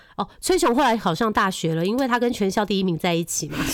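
This woman's voice sits at a fairly high pitch with an animated tone. She speaks at a very fast pace. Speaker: podcast co-host. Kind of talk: casual chat.

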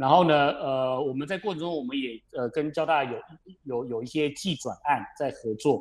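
Speaking at a moderate pace, the man has a plain, everyday voice, fairly high in pitch with ordinary pitch variation. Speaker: company chairman. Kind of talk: radio interview. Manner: measured explanatory with fillers.

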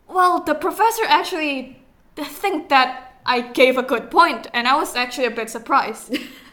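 Over noticeable background noise, a woman projects a raised, high voice with lively intonation. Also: moderate pace. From Indonesia. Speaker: university English student. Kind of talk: casual chat.

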